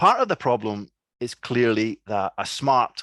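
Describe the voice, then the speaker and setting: A man's medium-pitched voice with a strong Scottish accent, at a fairly slow pace, with a dry, close sound, no echo and a quiet background. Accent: thick Scottish. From Scotland. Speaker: academic researcher. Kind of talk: lecture. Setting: video call. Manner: slow, deliberate; hesitant, many fillers.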